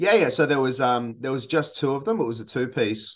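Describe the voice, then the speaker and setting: With an Australian accent and ordinary pitch variation, a man speaks over music in the background. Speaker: metal musician. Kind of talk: interview. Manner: hesitant, many fillers.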